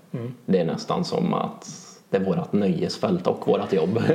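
A man speaks at a moderate pace. Audible room echo and noticeable background noise surround his voice. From Värmland, Sweden (Charlottenberg). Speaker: synthpop musician. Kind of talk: casual interview.

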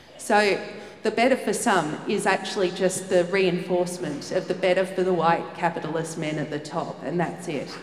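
A woman with an Australian accent speaks at a moderate pace and medium pitch, her intonation fairly even. Room echo is audible, and background noise is noticeable. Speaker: social commentator and writer. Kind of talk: live panel discussion. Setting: stage with audience.

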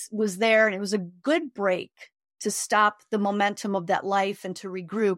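A woman with an American accent uses an ordinary speaking voice at medium pitch and a moderate pace. The recording is very clean, with a silent background and a dry, close sound with no echo. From Chicago, South Side. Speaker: spiritual healer. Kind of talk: casual interview.

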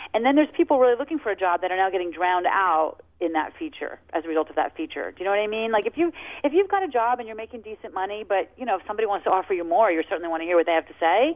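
A woman at medium pitch, energetic and very fast, with very wide pitch swings and hardly any pauses. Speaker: social media expert. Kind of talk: radio call-in show.

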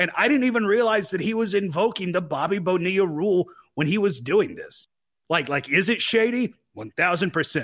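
A man's high-pitched voice, fairly quick pace, lively intonation. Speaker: sports podcast co-host. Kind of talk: casual sports chat.

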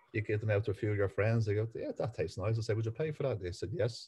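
A man with a Dublin accent has a dark, mellow, somewhat breathy tone. The background is quiet. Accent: Dublin Irish. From Ireland, Dublin. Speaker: butcher business owner. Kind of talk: interview.

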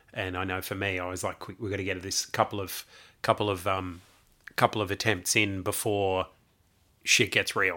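In a very clean recording with a silent background, a man with an Australian accent speaks at a very deep, low pitch in a bright, sharp tone. His intonation is monotone and flat, his pace moderate, with long, frequent pauses. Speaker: podcast co-host. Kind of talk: casual chat.

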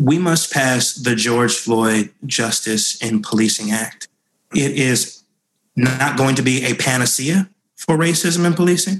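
In an unremarkable speaking voice at a medium pitch, a man talks at a fairly slow pace. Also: ordinary pitch variation, very even loudness. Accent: American. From US Northeast, New York (Rockland County). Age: 30s. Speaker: congressman. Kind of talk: interview.

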